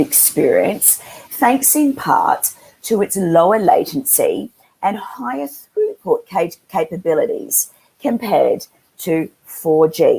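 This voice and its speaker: A woman's fairly slow speech with an Australian accent. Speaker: webinar moderator, industry analyst. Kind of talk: moderated panel webinar.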